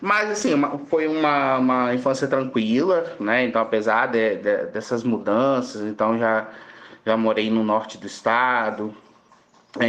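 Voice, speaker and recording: Lively intonation marks a man's medium-pitched voice at a fairly slow pace. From Brazil, southern Espírito Santo. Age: 30s. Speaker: pharmacy professor. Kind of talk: podcast interview. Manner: halting, many fillers.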